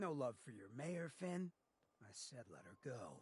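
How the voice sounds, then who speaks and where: Speaking in a put-on character voice, a man pitches it fairly high. His pace is fairly slow. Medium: video game. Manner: laid-back, streetwise.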